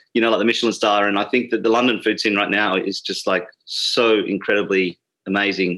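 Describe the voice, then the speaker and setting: A man's fairly low, monotone, flat delivery in an Australian accent, against a quiet background. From Sydney, Australia. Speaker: bartender and drinks writer.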